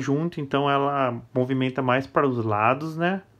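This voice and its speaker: Speaking at a fairly slow pace, the voice has an enthusiastic tone and a Brazilian accent. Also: man. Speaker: toy collector and YouTuber. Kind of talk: product review. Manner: casual, enthusiastic.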